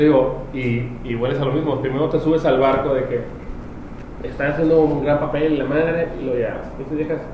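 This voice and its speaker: In a Mexican accent, a man talks at a fairly quick pace and a fairly high pitch with monotone, flat intonation. Room echo is audible, along with noticeable background noise. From Mexico. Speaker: podcast co-host. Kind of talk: casual chat.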